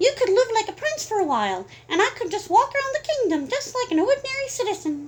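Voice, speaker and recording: A woman puts on a squeaky character voice at an extremely high pitch. She talks very fast, her pitch swinging very widely. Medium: read story. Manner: refined, proper.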